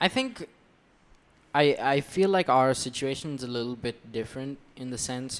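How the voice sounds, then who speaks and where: Pitched at a medium level, a man with an American accent talks with ordinary pitch variation. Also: moderate pace. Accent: neither American nor Indian. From India. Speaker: podcast co-host. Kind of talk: casual chat.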